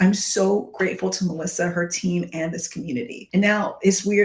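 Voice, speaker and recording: Over noticeable background noise, a woman at a medium pitch speaks at a fairly quick pace with ordinary pitch variation. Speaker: coaching client. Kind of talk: testimony. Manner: halting.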